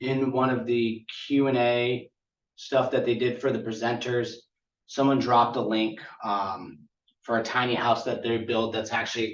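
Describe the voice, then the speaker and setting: Speaking at a fairly slow pace, a man keeps a medium pitch with monotone, flat intonation. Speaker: conference presenter on tiny house building. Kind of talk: conference presentation.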